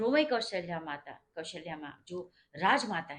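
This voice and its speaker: Very wide pitch swings mark the delivery. The speaker is a woman. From India, Uttar Pradesh (Awadh region). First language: Awadhi (mixed with Bhojpuri) (speaking Hindi). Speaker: religious storyteller explaining a devotional song. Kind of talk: informal explanatory storytelling.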